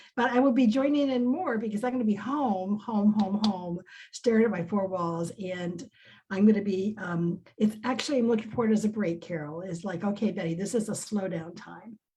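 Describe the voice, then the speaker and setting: She is a woman with a medium-pitched voice. It sounds somewhat breathy. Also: ordinary pitch variation, moderate pace. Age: 70s. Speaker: success team member on a business network panel. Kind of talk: casual chat.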